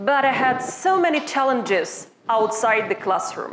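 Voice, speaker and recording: Over noticeable background noise, a woman speaks at a high pitch. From Ukraine. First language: Ukrainian. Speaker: university lecturer. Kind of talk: workshop presentation.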